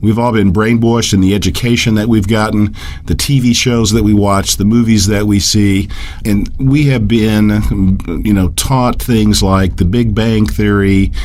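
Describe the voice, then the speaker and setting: A fairly low-pitched man speaks at a fairly slow pace, with fairly even intonation and very even loudness. Audible room echo and noticeable background noise fill the recording. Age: 60s. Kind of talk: radio interview. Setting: radio broadcast.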